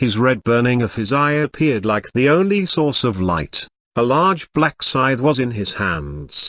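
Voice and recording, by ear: In a quiet background, a speaker is reading aloud in a natural voice.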